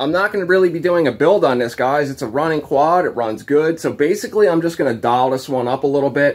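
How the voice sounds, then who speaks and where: A man with a normal speaking voice, fairly high in pitch, speaks with lively intonation over a quiet background. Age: 30s. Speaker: YouTube ATV builder. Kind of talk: casual vlog talk. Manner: casual, filler-heavy. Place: garage. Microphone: phone near.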